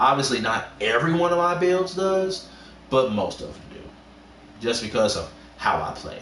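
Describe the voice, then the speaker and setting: Here a man speaks with a high pitch, very wide pitch swings and an animated tone at a moderate pace, leaving long, frequent pauses. Audible room echo and noticeable background noise are present. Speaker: gaming streamer. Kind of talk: live game stream tutorial. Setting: livestream. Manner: halting, repetitive fillers.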